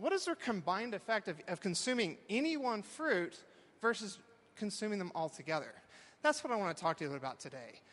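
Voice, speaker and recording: With a Texan accent, a man speaks at a fairly quick pace in an animated tone, his high pitch swinging very widely. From Texas. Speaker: professor. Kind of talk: talk to a live audience.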